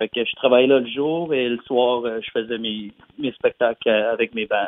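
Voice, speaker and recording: Monotone, flat intonation marks this man's fairly slow speech. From New Brunswick, Canada (Dieppe, near Moncton). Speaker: country pop singer. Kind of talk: interview. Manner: halting, many repetitions and fillers.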